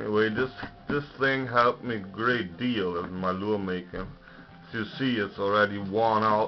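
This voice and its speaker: Music plays in the background as a man talks at a moderate pace, his fairly low voice carrying fairly even intonation. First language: German. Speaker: lure maker reviewing books. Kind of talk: casual video review. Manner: hesitant, many fillers.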